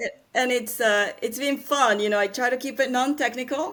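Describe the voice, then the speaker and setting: A woman with a Spanish accent speaks at a moderate pace, her pitch varying in an ordinary way. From Panama. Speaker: angel investor and scientist. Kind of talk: interview.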